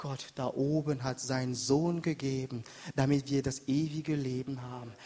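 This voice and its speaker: Somewhat breathy and dark, mellow in tone, a man speaks at a moderate pace with fairly high pitch. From Africa. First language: not German (speaking German). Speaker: pastor. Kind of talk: sermon. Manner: animated.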